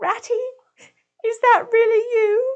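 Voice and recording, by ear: A squeaky, put-on character voice sits at an extremely high pitch.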